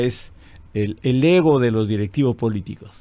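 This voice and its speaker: Lively in intonation, a man's medium-pitched voice has a dark, mellow tone. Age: 70s. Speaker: party leader, politician. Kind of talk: TV/radio interview.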